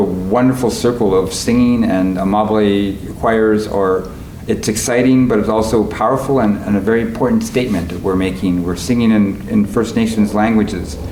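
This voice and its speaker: Over noticeable background noise and audible room echo, a man with a fairly low voice talks at a moderate pace. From Canada, Winnipeg, Manitoba. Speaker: composer and conductor. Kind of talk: interview reflection. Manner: halting, many fillers.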